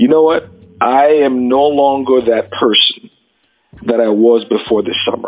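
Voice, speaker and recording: Here is a man with an unremarkable speaking voice and an American accent. His pitch is medium, with ordinary variation. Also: fairly slow pace. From New York City. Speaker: podcast host. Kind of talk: interview.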